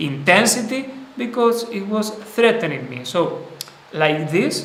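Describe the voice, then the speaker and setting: Lively intonation marks this man's speech, which carries audible room echo and noticeable background noise. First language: not English. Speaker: spiritual teacher. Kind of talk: live stream talk. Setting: live stream. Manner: halting.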